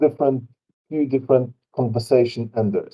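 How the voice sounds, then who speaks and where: At a fairly quick pace, a man talks with a medium pitch and ordinary pitch variation. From Poland. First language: Polish. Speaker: tabletop game designer. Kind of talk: interview. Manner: halting.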